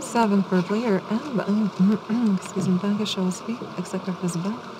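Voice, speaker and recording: A soft-spoken woman talks at a fairly slow pace with a medium pitch. Her tone is relaxed and her intonation fairly even, with noticeable background noise. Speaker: live baccarat dealer. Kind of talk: casino dealer announcing game rounds. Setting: live casino table. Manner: soft-spoken, relaxed. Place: studio.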